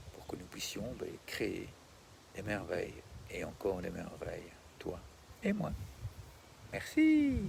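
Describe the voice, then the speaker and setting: A calm, gentle man speaks at a very slow pace with long, frequent pauses. His loudness swings widely, and there is audible room echo. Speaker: meditation and wellbeing guide. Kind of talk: guided meditation outro and donation appeal.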